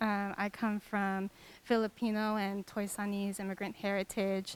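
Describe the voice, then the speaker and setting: A woman speaks with an American accent. Her pace is moderate. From US West Coast, Los Angeles area. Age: 20s. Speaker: physician and community healer. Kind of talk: panel discussion.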